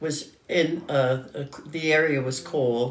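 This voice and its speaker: A woman with a New York accent speaks at a very slow pace. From New York City, Lower Manhattan. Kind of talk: interview answer. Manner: hesitant, halting.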